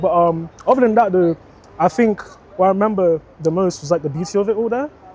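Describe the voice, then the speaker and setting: A man rattles off words at a very fast pace amid noticeable background noise. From Jamaica, then Sutton, London from age nine. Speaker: interviewee sharing life story. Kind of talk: casual interview. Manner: hesitant, many fillers.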